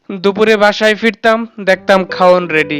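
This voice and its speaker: A man's voice with music in the background. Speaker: poetry reciter. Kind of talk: poetry reading.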